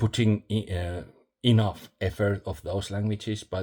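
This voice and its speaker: Somewhat breathy and dark, mellow in tone, a man with a non-native accent speaks at a fairly low pitch. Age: old. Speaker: vlogger. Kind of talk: casual vlog monologue. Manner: halting, many fillers.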